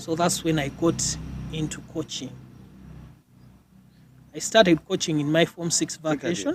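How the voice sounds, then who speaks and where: A soft-spoken man talks at a moderate pace with fairly high pitch and fairly even intonation. He leaves long, frequent pauses. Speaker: doctor and military officer, former school rugby captain. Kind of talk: interview answer.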